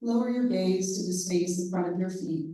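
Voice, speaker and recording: Audible room echo is present. It carries a woman's voice. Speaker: meditation leader. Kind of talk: guided meditation.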